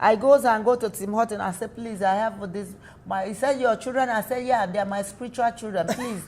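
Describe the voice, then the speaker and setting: Somewhat breathy, animated speech at a fairly quick pace. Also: woman, fairly high pitch for a woman. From Nigeria. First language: not English. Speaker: small business owner. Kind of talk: interview. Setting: studio. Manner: halting.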